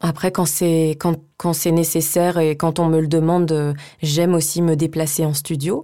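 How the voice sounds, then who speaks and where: This woman's voice is very deep and low, with a dark, mellow tone. She speaks in a flat monotone at a fairly slow pace with very even loudness. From France, Savoie (Chambéry). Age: 30s. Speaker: voice-over actress. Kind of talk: casual interview. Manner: hesitant, many fillers and repeats.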